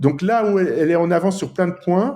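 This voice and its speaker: This is a man talking. His pitch is high. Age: 50s. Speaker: app developer. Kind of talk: casual chat.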